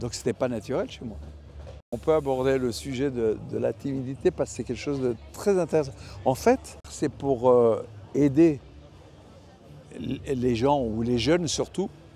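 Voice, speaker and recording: A man's medium-pitched voice, dark and mellow in tone, with lively intonation, a fairly slow pace and long, frequent pauses. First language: Italian (speaking French). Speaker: artist. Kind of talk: interview. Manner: halting.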